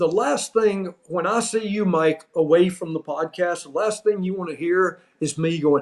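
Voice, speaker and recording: Speaking at a fairly slow pace, a man has a high pitch and an American accent. His intonation is fairly even. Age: 60s. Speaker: former pro wrestling referee. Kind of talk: casual chat.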